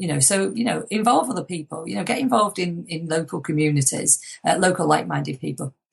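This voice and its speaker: Vocal fry marks a woman's fairly low voice. She talks at a very fast pace. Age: 50s. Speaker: motivational speaker and author. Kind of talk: interview.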